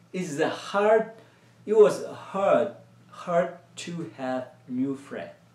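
A man speaks at a very slow pace with lively intonation. The room echo is audible. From Myanmar. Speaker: children's church teacher. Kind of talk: children's sermon. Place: home room.

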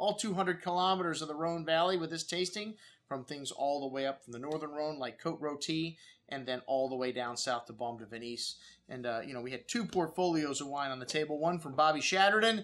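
A man speaks fairly quickly, his pitch shifting in an ordinary way. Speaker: wine shop host. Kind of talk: product presentation to camera. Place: studio.

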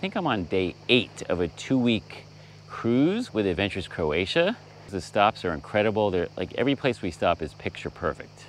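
A man's fairly low voice with lively intonation at a moderate pace, dry with no echo, over light background noise. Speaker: travel vlogger host. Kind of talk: casual vlog chat. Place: boat. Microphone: phone near.

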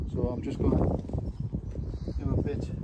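The background noise is loud. A man talks through it. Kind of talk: casual vlog chat. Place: garden. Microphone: phone near.

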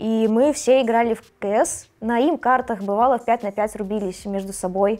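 Her tone is dark and mellow, her pitch fairly high with ordinary variation. The woman moves at a moderate pace with hardly any pauses. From Belarus. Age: 20s. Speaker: esports tournament organizer; interviewee. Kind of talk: documentary interview. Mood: relaxed, warm. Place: studio. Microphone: lapel.

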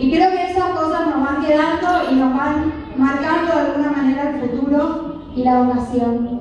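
A woman's high-pitched voice with fairly even intonation, under strong room echo and light background noise. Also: moderate pace. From Goya, Corrientes, Argentina; Corrientes, Argentina. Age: 30s. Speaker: politician. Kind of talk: campaign speech. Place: hall.

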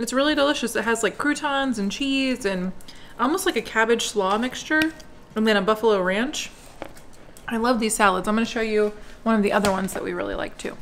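A woman at a fairly quick pace with ordinary pitch variation, over light background noise. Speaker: home vlogger. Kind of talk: casual vlog chat. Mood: relaxed, enthusiastic. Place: kitchen.

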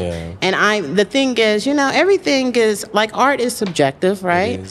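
A woman at a moderate pace over light background noise. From Texas, US South. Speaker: writer and producer. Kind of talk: interview. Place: studio. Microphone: studio mic.

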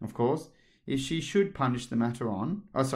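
Read aloud plainly, the words carry a lively intonation.

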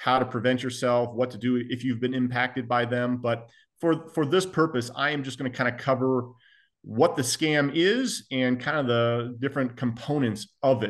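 A man talks in a plain, everyday voice with ordinary pitch variation. The background is quiet. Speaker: federal law enforcement agent. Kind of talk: panel presentation. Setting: video call. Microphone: video call.

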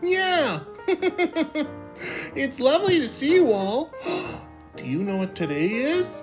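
A cartoonish character voice that sounds female, pitched high and swinging very widely in pitch, moves at a fairly slow pace over clear background music. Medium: puppet. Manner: gentle, encouraging.

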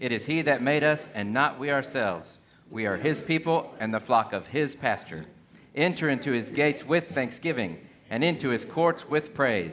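A man with vocal fry and lively intonation at a moderate pace, with light background noise. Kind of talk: liturgical reading and announcements. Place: hall.

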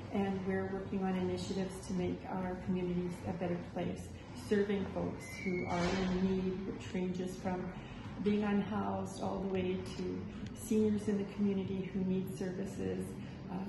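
A woman talks at a moderate pace, with audible room echo and noticeable background noise around her. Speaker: interfaith council host. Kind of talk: welcome address. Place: hall. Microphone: camera far.

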